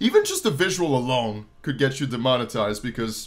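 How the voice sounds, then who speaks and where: This man talks at a moderate speed, with a quiet background behind him. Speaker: reaction video host. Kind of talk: casual reaction commentary.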